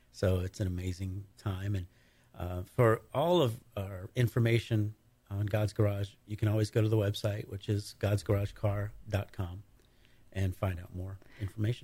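This man's voice is fairly low, dark and mellow in tone, and somewhat breathy. His intonation stays fairly even. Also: moderate pace. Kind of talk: casual radio interview answers. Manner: easygoing, conversational, a bit halting with fillers.

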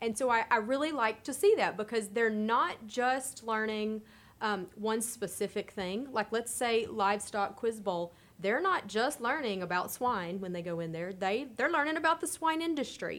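An ordinary speaking voice from a woman with an American accent, pitched fairly high. Her intonation is lively and her pace moderate. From Texas. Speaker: youth development extension agent. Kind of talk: casual panel chat.

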